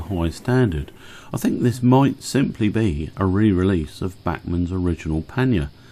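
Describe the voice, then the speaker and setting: Lively intonation at a moderate pace, in a dark, mellow tone with a British accent. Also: man. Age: 60s. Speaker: model railway YouTuber. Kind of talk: narrated hobby video.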